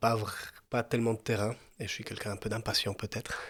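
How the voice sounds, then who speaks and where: A man speaks at a fairly quick pace, sounding somewhat breathy. The recording is very clean, with a silent background. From Mexico. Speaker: former actor turned farmer. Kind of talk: podcast interview. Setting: family farm. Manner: hesitant, many fillers.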